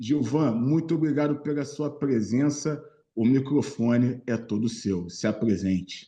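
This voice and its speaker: Dark and mellow in tone, a man talks at a medium pitch and a fairly slow pace with ordinary pitch variation. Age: 40s. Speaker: videocast host, financial market professional. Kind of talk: podcast interview.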